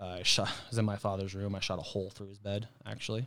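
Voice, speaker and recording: This man speaks with an American accent at a fairly low pitch and a fairly quick pace. The recording is very clean, with a silent background. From Arizona. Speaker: DJ and podcast guest. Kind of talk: personal testimony.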